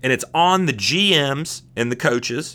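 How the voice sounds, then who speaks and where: With an American accent, a man speaks at medium pitch in a bright, sharp, animated tone, with lively intonation and vocal fry. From Southern California. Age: 30s. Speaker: sports podcast host. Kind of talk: solo podcast monologue. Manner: casual, animated; halting with repetitions and fillers.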